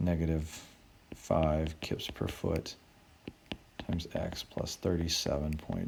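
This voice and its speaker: Over music in the background, a man with a very deep, low voice speaks at a very slow pace in a monotone, flat way, leaving long, frequent pauses. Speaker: engineering professor. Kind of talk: tutorial.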